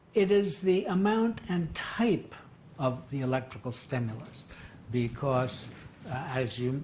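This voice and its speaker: Over noticeable background noise, a man with a medium-pitched voice talks at a very slow pace with lively intonation. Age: 80s+. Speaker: psychiatrist. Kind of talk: deposition testimony.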